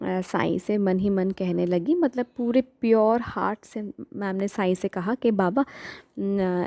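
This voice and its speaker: The sound is dry and close with no echo. A woman with a Bengali accent speaks at a medium pitch with fairly even intonation. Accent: Bengali-accented Hindi. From Bengal, India. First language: Bengali (speaking Hindi). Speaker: devotional storyteller. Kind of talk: story retelling. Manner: hesitant, many fillers; Hindi-English code-switching.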